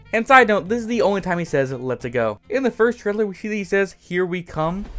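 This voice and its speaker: An animated tone at a very fast pace, over noticeable background noise. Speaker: YouTube movie reviewer. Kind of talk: unscripted movie review.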